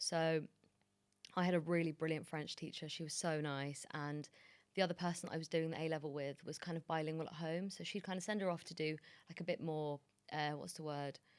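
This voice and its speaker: In a London accent, a woman with a very deep, low pitch speaks at a fairly quick pace with monotone, flat intonation. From London, England. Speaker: TV producer and journalist. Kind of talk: interview. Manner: casual.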